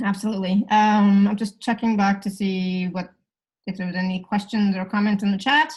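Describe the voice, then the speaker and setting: A woman talks at a fairly quick pace in a somewhat breathy, medium-pitched voice with fairly even intonation. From Canada. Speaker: facilitator. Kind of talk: live facilitation session. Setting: live video call. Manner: fast.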